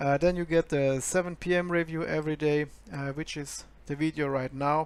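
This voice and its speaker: A man with a German accent speaks at a fairly high pitch in a monotone, flat way. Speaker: forex trader and educator. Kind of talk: screen-share trading review. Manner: hesitant, many fillers.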